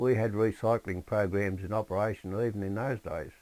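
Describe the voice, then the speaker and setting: With an Australian accent, a man talks at a moderate pace in a fairly low voice with ordinary pitch variation. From Australia, Sydney (Hornsby). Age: 70s. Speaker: memoir narrator. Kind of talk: reading aloud a personal memoir.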